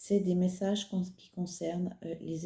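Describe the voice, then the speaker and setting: A soft-spoken woman talks in a medium pitch with a dark, mellow tone and a somewhat breathy quality. Her intonation stays monotone and flat. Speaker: psychic medium channeler. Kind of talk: channeled spiritual message. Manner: slow, soft-spoken; calm, halting with fillers.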